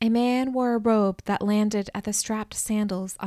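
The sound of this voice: The reading voice is unforced, and its intonation remains fairly even.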